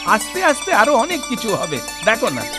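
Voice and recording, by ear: Over clear background music, a man in a put-on character voice talks fast at an extremely high pitch with very wide pitch swings.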